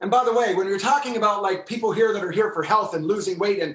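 Here a man speaks in a high pitch. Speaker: movement and fitness instructor. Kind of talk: exercise tutorial.

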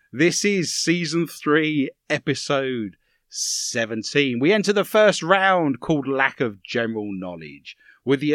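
With an Essex accent, a man of fairly high pitch swings very widely in pitch, in a dry, close sound with no echo on a very clean recording with a silent background. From Romford, Essex, England. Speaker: paranormal quiz show host. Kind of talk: comedic quiz show hosting.

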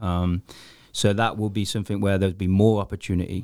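A man with an English Midlands accent, very deep and low in pitch, at a moderate pace with fairly even intonation, in a dry, close sound with no echo on a very clean recording with a silent background. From Coventry, England. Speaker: soccer coach. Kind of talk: casual interview.

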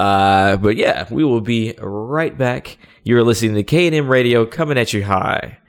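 Lively intonation runs through a man's plain, everyday voice. His pitch is medium and his loudness very even. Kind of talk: radio DJ patter: mock-radio station ID, plugging email, teasing a segment before a break. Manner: upbeat, playful and punchy, drawling 'yo' greetings, laughing between lines.

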